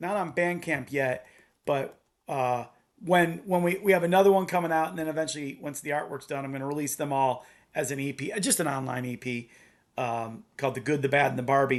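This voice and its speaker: A man speaks at a fairly quick pace in a fairly high pitch for a man, with ordinary pitch variation against a quiet background. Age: 50s. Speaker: punk band guitarist and songwriter. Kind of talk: casual podcast interview. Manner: hesitant, many fillers and restarts.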